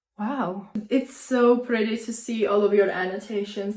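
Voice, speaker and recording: Fairly high in pitch, a woman with a non-native accent speaks in an animated tone. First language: not English. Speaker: booktuber. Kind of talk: casual vlog narration.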